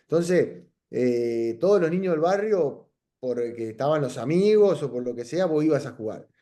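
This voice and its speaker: A man with a Uruguayan accent speaks at a moderate pace, his fairly high pitch swinging very widely over a dark, mellow tone. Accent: Uruguayan Rioplatense Spanish. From Uruguay, Salto (north). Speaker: professional footballer, goalkeeper. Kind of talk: interview. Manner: halting, many repetitions and fillers.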